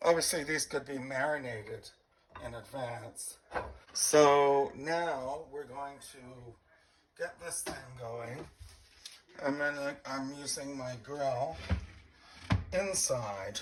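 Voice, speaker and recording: Very slow speech broken by long, frequent pauses, with noticeable background noise. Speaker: home cooking video host. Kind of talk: cooking tutorial.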